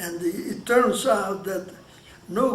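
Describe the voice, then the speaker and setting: A man with a Hungarian accent speaks at a fairly slow pace in a high voice, with ordinary pitch variation, audible room echo and noticeable background noise. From Hungary. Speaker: Holocaust survivor. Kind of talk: oral history interview. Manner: halting, with many restarts.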